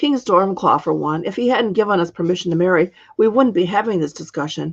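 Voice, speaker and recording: A woman does a raspy, put-on character voice. Her pitch is medium and her pace fairly quick. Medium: read story.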